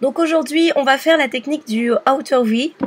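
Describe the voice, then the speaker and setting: The woman's voice has ordinary pitch variation. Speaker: makeup tutorial youtuber. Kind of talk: tutorial. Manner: hesitant with many fillers.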